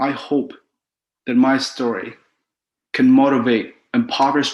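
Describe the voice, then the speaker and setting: The speaker is a man with a Cambodian accent and a medium pitch. He talks at a fairly slow pace with monotone, flat intonation. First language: Khmer. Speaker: author. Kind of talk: prepared talk.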